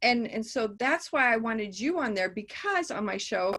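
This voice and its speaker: Using a normal speaking voice, a woman talks at a moderate pace with a fairly high pitch. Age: 60s. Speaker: podcast host. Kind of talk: interview.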